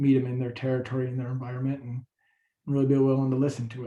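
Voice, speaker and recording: A man's voice is somewhat breathy, with medium pitch and a dark, mellow tone. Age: 40s. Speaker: city commission candidate. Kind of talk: candidate forum answer. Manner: casual, with fillers.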